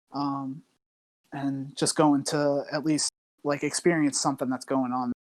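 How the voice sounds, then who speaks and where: A man with a fairly high pitch, a slight New York accent, monotone, flat intonation and a fairly slow pace, in a dry, close sound with no echo. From New Jersey, US. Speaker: online quiz game player. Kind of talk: casual interview chat. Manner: many fillers and hesitations.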